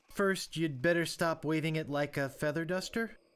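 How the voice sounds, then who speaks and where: A put-on character voice at a middle pitch and moderate pace, in a very clean recording with a silent background. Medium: video game. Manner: brash, comic.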